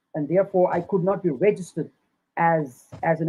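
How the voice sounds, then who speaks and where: Speaking quite quickly, a man with a South African accent keeps his intonation fairly even and his pitch high. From South Africa, Cape Town. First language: Afrikaans. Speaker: Rastafari activist and lawyer. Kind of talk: interview testimony.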